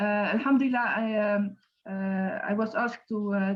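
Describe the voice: A woman speaks at a moderate pace and a medium pitch.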